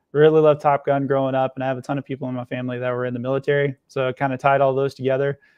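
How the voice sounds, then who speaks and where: With a Kentucky accent, a man speaks very fast in a medium pitch. His intonation is monotone and flat. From Kentucky, small town. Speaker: nonprofit founder and Air Force veteran. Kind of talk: casual interview. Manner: many filler words (uh, you know).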